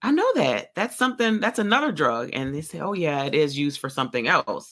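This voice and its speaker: A woman with a fairly low voice talks at a fairly quick pace, her pitch swinging very widely. The recording is very clean, with a silent background. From New Orleans. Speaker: pharmacist. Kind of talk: podcast interview answer.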